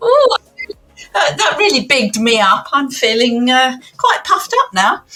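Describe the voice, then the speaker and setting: A raised, projected voice moves at a moderate pace with very wide pitch swings. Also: woman, high pitch for a woman. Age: 70s. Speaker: retired finance officer and magistrate. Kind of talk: casual podcast interview.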